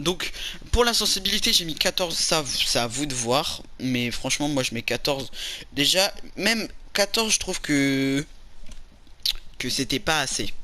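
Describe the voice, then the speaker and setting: A man speaks with a bright, sharp tone. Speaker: gaming YouTuber. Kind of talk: gameplay tutorial. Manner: stutters, loses words; casual, hesitant with fillers.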